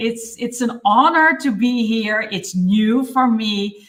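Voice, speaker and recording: Speaking very slowly, a woman with a Dutch accent uses a fairly high pitch. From Netherlands. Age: 50s. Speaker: listening expert and mentor. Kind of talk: live interview. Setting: livestream.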